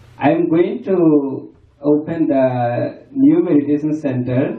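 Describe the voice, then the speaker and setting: There is audible room echo around this man, whose fairly high voice shows ordinary pitch variation. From Bangladesh. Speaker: Buddhist monk. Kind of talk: farewell speech. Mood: grateful, warm. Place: hall.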